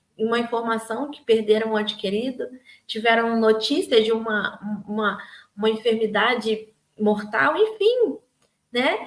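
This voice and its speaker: An ordinary speaking voice, a woman talks at a fairly slow pace with a fairly high pitch and fairly even intonation. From Rio de Janeiro, Brazil. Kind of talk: daily devotional talk to camera. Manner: warm, conversational.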